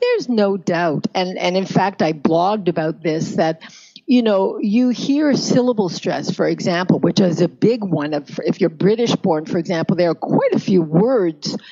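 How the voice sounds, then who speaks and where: Over noticeable background noise, a woman with a Canadian accent talks at a moderate pace with lively intonation and hardly any pauses. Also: medium pitch for a woman. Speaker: pronunciation coach. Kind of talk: interview answer.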